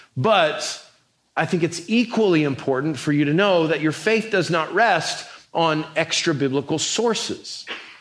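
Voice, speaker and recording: Room echo can be heard as a high-voiced man talks at a fairly slow pace, very even in loudness, with ordinary pitch variation. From New Mexico. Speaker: pastor. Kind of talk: sermon.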